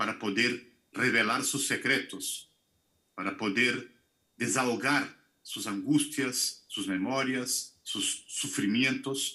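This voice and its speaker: In a Brazilian accent, a man speaks very slowly with a bright, sharp tone and ordinary pitch variation against a quiet background. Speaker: film director. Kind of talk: Q&A answers. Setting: video call. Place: home room. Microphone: video call.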